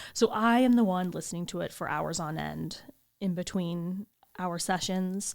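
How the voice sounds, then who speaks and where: In a very clean recording with a silent background, a woman with an unremarkable speaking voice talks at a moderate pace in a medium pitch, her intonation lively. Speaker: podcast co-host. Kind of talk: casual chat.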